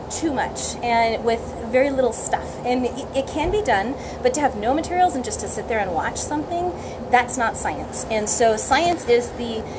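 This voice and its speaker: Her high-pitched voice shows ordinary pitch variation, heard with audible room echo and noticeable background noise. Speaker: science educator and homeschool curriculum creator. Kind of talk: casual live stream talk. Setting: Facebook live video. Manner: fast.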